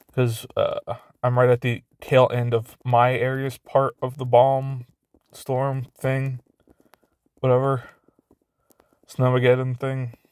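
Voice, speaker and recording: Speaking very slowly with long, frequent pauses, this man has a medium-pitched voice and a flat, monotone delivery. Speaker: YouTuber. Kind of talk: casual vlog monologue. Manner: halting, stuttering.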